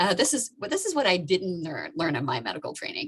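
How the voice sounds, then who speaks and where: Over noticeable background noise, a woman's medium-pitched voice swings very widely in pitch. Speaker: obstetrician-gynecologist doctor. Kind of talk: presentation to an online audience. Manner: fast.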